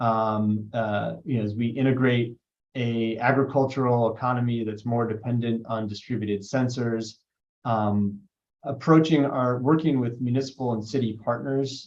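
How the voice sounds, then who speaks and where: Here is a plain, everyday voice. The man talks at a medium pitch and a moderate pace. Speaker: state broadband official. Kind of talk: webinar panel talk.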